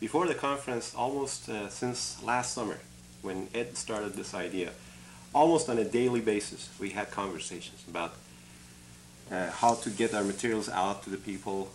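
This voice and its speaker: With lively intonation and some vocal fry, a man speaks in an Iranian accent. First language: Farsi. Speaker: engineering academic and conference organizer. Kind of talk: interview.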